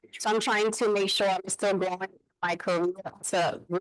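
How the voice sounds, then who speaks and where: Talking at a fairly quick pace, a woman speaks at medium pitch. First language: Spanish. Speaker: real estate agent. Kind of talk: casual chat.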